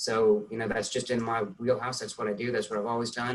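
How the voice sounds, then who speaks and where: The man's pitch is medium. He talks with an American accent. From US South. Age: 60s. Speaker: tax partner, accountant. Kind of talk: interview. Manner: halting.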